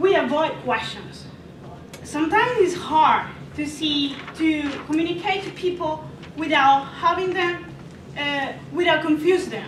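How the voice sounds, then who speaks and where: Speaking in a non-native accent, a woman talks at an extremely high pitch with ordinary pitch variation, a fairly slow pace and long, frequent pauses. Noticeable background noise and audible room echo fill the recording. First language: not English. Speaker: student presenter. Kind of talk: class presentation. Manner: halting.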